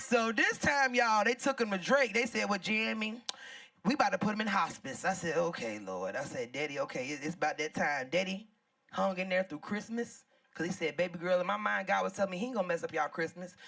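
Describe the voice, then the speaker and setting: A loud, animated woman's voice at medium pitch, very wide pitch swings, very fast delivery. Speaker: comedian. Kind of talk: stand-up.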